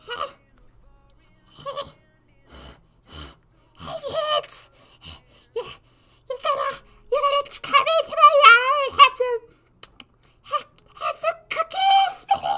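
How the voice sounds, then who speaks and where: A put-on character voice sits at an extremely high pitch and moves at a very slow pace. Long pauses come often. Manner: wheedling, sinister.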